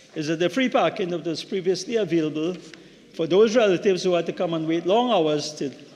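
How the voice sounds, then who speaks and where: Against noticeable background noise, a man talks at a very fast pace in a high pitch with ordinary pitch variation. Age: 60s. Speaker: member of parliament, doctor. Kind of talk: parliamentary speech. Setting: parliament chamber. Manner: halting, with repetitions.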